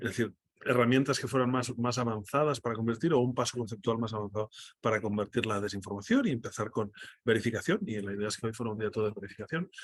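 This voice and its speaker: The speaker talks at a very fast pace in a Catalan accent. The intonation stays fairly even. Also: man, medium pitch for a man. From Catalonia, Spain. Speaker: data journalist. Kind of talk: online workshop presentation. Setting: video call from airport restaurant. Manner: halting, many repetitions.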